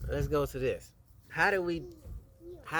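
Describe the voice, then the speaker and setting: Noticeable background noise is present throughout. A man talks over it at a moderate pace. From Chicago. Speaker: husband being interviewed. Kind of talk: casual interview.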